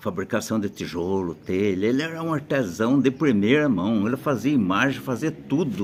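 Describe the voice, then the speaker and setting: A man talks at a fairly slow pace. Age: 80s+. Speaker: elderly local storyteller. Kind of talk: casual storytelling. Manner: halting.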